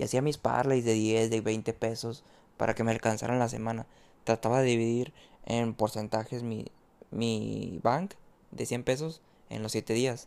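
Fairly even intonation at a fairly slow pace. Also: man, medium pitch for a man. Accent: Mexican. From Mexico. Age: 20s. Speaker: sports betting tipster. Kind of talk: casual monologue. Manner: talkative, many repetitions.

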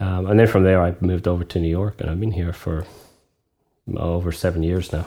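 In a Scottish accent, a man with a very deep, low pitch and a dark, mellow tone speaks fairly quickly in a monotone, flat manner. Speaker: associate creative director in advertising. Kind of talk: casual chat. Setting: remote call.

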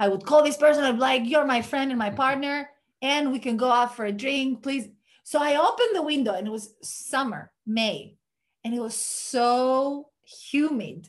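This woman has a high-pitched voice and a Greek accent. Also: ordinary pitch variation, moderate pace. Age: 30s. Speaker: podcast host. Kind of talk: casual chat.

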